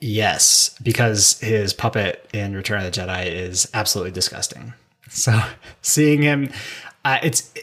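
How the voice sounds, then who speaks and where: This man has an unremarkable speaking voice, fairly low in pitch, with ordinary pitch variation at a fairly slow pace. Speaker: podcast host. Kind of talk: casual chat.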